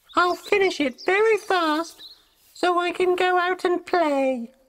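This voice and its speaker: Squeaky and extremely high, this put-on character voice moves at a fairly slow pace. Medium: read story.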